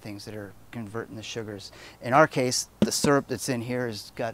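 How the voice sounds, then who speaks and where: Recorded with a dry sound and no echo, a man speaks at a moderate pace. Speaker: homebrew shop demonstrator. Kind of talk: tutorial. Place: street.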